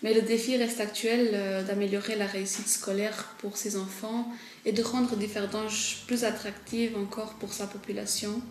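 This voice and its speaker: Over noticeable background noise and audible room echo, a woman speaks at a fairly high pitch. Her delivery is monotone and flat, at a moderate pace. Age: 20s. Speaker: local political candidate. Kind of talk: campaign statement. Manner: hesitant, many fillers.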